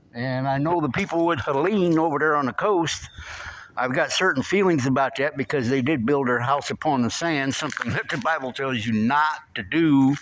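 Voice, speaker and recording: The speech has ordinary pitch variation. Noticeable background noise is present. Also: man. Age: 60s. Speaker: CB radio hobbyist vlogger. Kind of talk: casual video vlog.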